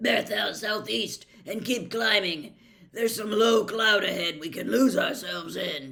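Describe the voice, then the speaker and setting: A gruff, raspy put-on character voice at a fairly high pitch and a moderate pace. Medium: read story. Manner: gruff, barking orders.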